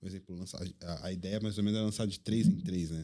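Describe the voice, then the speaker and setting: Fairly low in pitch, a man with an unremarkable speaking voice keeps his intonation fairly even. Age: 30s. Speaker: DJ. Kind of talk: casual chat.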